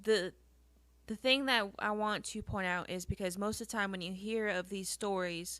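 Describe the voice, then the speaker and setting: The recording is very clean, with a silent background. A woman speaks at a moderate pace and medium pitch, her bright, sharp tone carried by fairly even intonation. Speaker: podcast host. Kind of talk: casual chat. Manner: stuttering.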